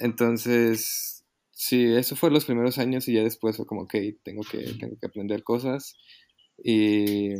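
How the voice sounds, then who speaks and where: His tone is dark and mellow. The man keeps his intonation fairly even. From Mexico City. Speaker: musician. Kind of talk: casual chat. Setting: remote recording from home. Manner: halting.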